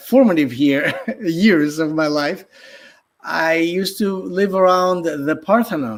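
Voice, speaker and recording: Lively intonation runs through this man's speech, which carries a Greek accent. He talks at a fairly slow pace. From Greece, Athens. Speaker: artist and podcaster. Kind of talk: casual interview. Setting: live stream. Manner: hesitant, many fillers.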